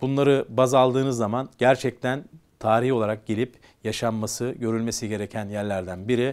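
A man keeps a moderate pace in a monotone, flat intonation. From Istanbul, Turkey (Kumkapı); Istanbul. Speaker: business association leader; guest. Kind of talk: interview. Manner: hesitant, many fillers. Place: studio. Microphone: lapel.

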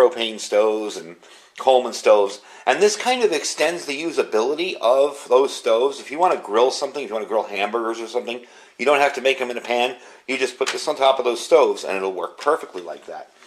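A very fast-paced male voice with lively intonation. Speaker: product reviewer. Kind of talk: tutorial. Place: home room.

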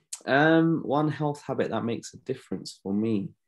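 Lively intonation marks this voice in a London accent, set against a quiet background. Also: man. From London, England. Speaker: optometrist; guest. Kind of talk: interview. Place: home room. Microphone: video call.

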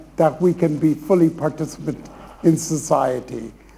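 A man with an Irish accent speaks in a fairly high voice with a dark, mellow tone. His intonation stays fairly even. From Ireland. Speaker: panel chair. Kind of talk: chairing a panel. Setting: stage with audience. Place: hall.

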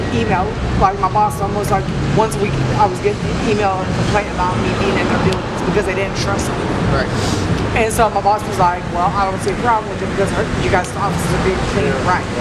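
The speech goes at a very fast pace. Loud background noise is present. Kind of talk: interview answer. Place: street. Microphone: camera far.

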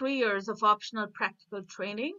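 Over a quiet background, a woman speaks at a fairly high pitch with ordinary pitch variation. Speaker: professor. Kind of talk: panel presentation. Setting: video call. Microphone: video call.

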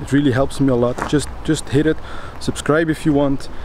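Light background noise sits under a man's moderate-paced, fairly even speech in a dry sound with no echo. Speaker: urban explorer vlogger. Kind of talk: casual vlog chat. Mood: calm, slightly hushed. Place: street. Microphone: phone near.

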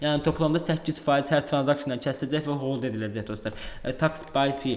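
This man has a normal speaking voice, pitched fairly high for a man, with fairly even intonation. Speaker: crypto YouTuber. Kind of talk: screen-share tutorial. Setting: at home.

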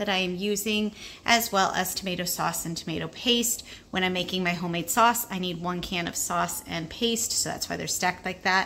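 A woman talks with ordinary pitch variation, and light background noise is present. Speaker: home food storage vlogger. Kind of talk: casual tour narration. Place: home room. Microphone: phone near.

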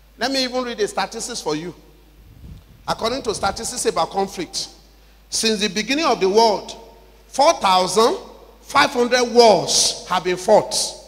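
A man's high-pitched voice, very slow, with ordinary pitch variation and long, frequent pauses. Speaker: preacher at a conference. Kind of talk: sermon. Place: church. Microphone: handheld.

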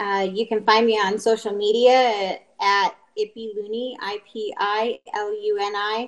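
A woman at medium pitch, fairly slow pace, little pitch movement.

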